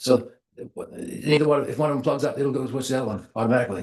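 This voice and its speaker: A somewhat breathy man's voice, fairly high in pitch, with ordinary pitch variation at a very fast pace. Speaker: resident speaking at public hearing. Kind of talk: public comment. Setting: public hearing at podium. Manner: stutter after strokes; halting.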